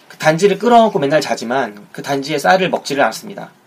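Through noticeable background noise, a man talks at a fairly quick pace with very wide pitch swings. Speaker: film podcast host. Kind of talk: solo podcast talk. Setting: home recording.

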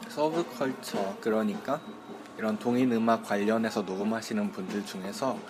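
The pace is moderate. Noticeable background noise is present. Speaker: radio host. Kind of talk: casual radio chat.

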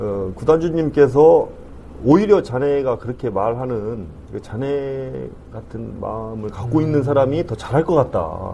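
A man talks fairly slowly with noticeable background noise behind him. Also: medium pitch for a man. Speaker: football club CEO. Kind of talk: interview. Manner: formal.

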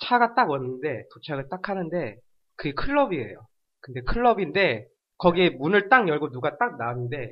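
This man's voice sits at a fairly high pitch. It makes very wide pitch swings. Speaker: podcast guest, entertainment fan. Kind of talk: casual chat.

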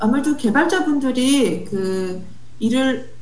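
Woman's high voice, fairly slow, with very wide pitch swings over noticeable background noise. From South Africa. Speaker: software developer. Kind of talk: casual interview.

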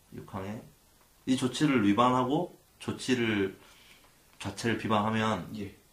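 A man speaks at a medium pitch and a very slow pace. Long pauses come often. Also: ordinary pitch variation. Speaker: lawyer and podcast co-host. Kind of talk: explanatory legal discussion. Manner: cautious.

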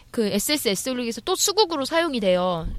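On a very clean recording with a silent background, a woman speaks at a high pitch. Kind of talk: casual chat.

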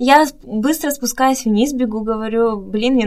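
A woman speaks over noticeable background noise. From Russia. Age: young. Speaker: model and performer living abroad. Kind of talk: interview.

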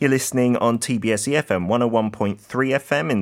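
The speaker has a British accent and talks at a very slow pace. The recording is very clean, with a silent background. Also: man. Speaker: fill-in radio host. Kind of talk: radio show hosting. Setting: radio studio.

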